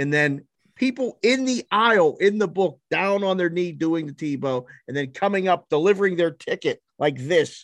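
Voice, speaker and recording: A man with an American accent speaks in a high pitch with lively intonation at a moderate pace. The sound is dry and close with no echo, over a quiet background. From Pittsburgh, Pennsylvania. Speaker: sports betting odds maker. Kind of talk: casual chat. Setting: studio.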